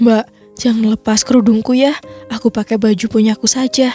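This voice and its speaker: A woman's put-on character voice, hoarse and fairly high-pitched, with monotone, flat intonation, very even loudness and a moderate pace over faint music in the background. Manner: pleading.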